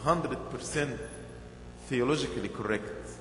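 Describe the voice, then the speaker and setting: Audible room echo and light background noise surround a man speaking at a very slow pace. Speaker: bishop. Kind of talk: sermon. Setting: church. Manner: earnest, rhythmic preaching; repeats key phrases for emphasis. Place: church. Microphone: podium.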